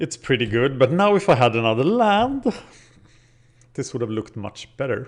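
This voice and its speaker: Against a quiet background, a man with a Scandinavian accent speaks at a moderate pace with lively intonation. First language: Scandinavian language. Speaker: gaming video creator. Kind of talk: gameplay commentary. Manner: casual, thinking aloud.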